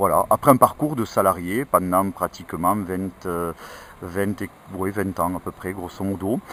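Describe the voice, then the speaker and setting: Very deep and low in pitch, a man talks at a fairly slow pace. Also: ordinary pitch variation, big swings in loudness. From France, Ariège. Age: 50s. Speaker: politician. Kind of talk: interview. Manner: hesitant, many filler sounds.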